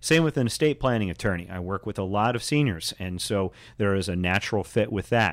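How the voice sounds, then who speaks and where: A man with an American accent and an unremarkable speaking voice, fairly low in pitch, fairly quick and lively in intonation, in a very clean recording with a silent background. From Indianapolis, Indiana. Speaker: realtor. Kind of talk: radio interview.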